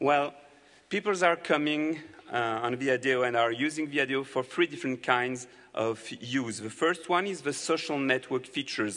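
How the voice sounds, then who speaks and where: At a moderate pace, a man with a French accent speaks in a fairly high pitch with ordinary pitch variation. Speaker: company representative presenting to developers. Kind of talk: conference presentation.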